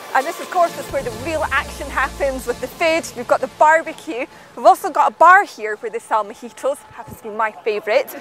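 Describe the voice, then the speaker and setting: Faint music plays behind a woman with a high pitch, in a dry sound with no echo. She talks at a fairly quick pace with hardly any pauses and big swings in loudness. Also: lively intonation. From Scotland. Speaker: TV presenter. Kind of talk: behind-the-scenes presenting. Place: open country.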